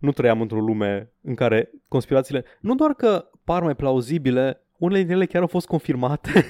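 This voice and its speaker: With a dark, mellow tone and a fairly high pitch, a man speaks at a moderate pace with lively intonation and hardly any pauses, the sound dry and close with no echo. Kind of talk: mock pitchman patter, comedic skit.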